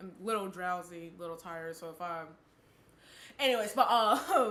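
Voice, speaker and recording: At a moderate pace, a woman speaks in a space with audible room echo. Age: 20s. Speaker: podcast co-host. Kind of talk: casual chat. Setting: live stream.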